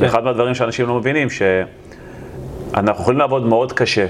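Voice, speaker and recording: Over noticeable background noise, a man talks at a fairly quick pace. His pitch is medium. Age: 40s. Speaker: real estate investor and developer. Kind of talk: interview.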